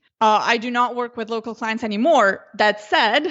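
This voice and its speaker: A woman at fairly high pitch with a Slovenian accent. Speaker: Facebook ads consultant. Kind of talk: interview.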